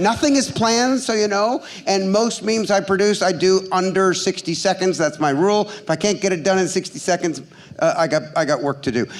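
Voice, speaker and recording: Speaking in an animated tone at a fairly quick pace, a high-pitched man uses ordinary pitch variation over noticeable background noise. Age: 60s. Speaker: ad tech investment banker. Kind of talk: live stage interview. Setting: stage with audience.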